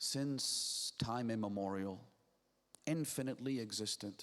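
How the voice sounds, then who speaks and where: In a very clean recording with a silent background, a man speaks at a very slow pace with ordinary pitch variation. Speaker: Islamic scholar giving a lecture. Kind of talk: religious lecture to an audience.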